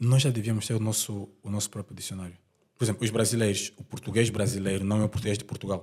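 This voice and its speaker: A man with an Angolan accent talks at a very fast pace in a fairly low, somewhat breathy voice with monotone, flat intonation. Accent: Angolan accent, unchanged. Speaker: film director. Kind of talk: podcast interview.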